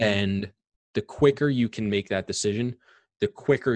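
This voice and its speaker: A man's normal speaking voice with an American accent, ordinary pitch variation and a moderate pace. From Long Island, New York. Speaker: real estate investor. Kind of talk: interview.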